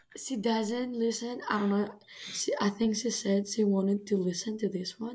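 A woman's fairly high voice with a Greek accent, fairly even in intonation and moderate in pace, over noticeable background noise. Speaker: guest co-host, college friend. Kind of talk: casual chat. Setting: video call.

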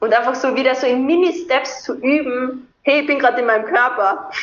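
At a moderate pace, a woman speaks in a high pitch, with audible room echo around her. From southern Austria (Carinthia). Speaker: movement and breathing coach. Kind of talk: interview.

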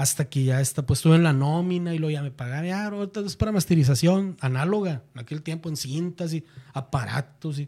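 With a northern Mexican accent, a man speaks at a fairly quick pace and fairly high pitch. He barely pauses, and his pitch varies in an ordinary way. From northern Mexico, Monterrey. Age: 40s. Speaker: music producer. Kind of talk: casual chat.

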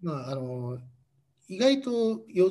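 With a dark, mellow tone, a man speaks at a moderate pace using lively intonation. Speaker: expatriate company employee. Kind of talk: casual interview chat.

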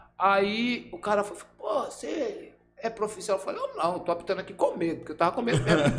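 Noticeable background noise fills this clip. Over it, a man talks at a fairly quick pace. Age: 50s. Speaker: samba dancer and football referee. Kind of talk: casual chat. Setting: studio.

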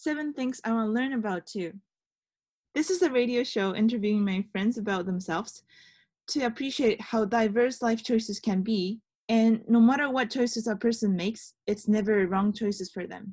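A woman's fairly high, somewhat breathy voice at a moderate pace, with ordinary pitch variation. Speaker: radio host. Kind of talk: interview for a radio show, casual chat. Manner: nervous, cheerful.

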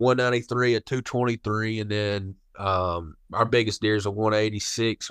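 A man speaks at a fairly low pitch with ordinary pitch variation. The sound is dry and close with no echo, over a quiet background. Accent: Kentucky. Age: 20s. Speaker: hunting outfitter and guide. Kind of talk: casual interview chat.

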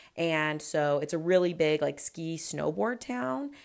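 Her pitch is very deep and low for a woman, caught on a very clean recording with a silent background. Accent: Western US. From Utah. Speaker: podcast host. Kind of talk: casual solo podcast chat. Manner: animated.

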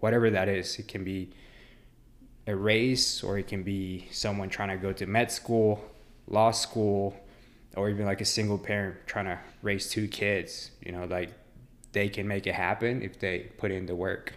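In a fairly low, monotone voice, a man speaks with flat intonation. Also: moderate pace. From Mexico, raised in Dallas, Texas. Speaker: ultramarathon runner. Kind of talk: casual interview.

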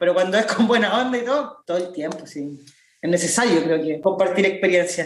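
The speaker has a Chilean accent. The pace is fairly quick. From Chile, southern Santiago (La Pintana). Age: 20s. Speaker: activist and political candidate. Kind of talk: interview.

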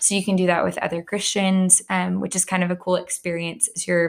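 A woman's plain, everyday voice with an American accent, fairly low in pitch, at a moderate pace with fairly even intonation, in a very clean recording with a silent background. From Texas (Plano). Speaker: school counselor. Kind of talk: casual interview.

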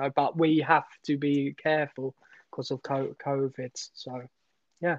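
In a dry, close sound with no echo and a quiet background, a man speaks at a fairly slow pace in a fairly high pitch, his intonation monotone and flat, with long, frequent pauses. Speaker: freelance filmmaker and teacher. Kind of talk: casual interview. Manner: stammer; halting.

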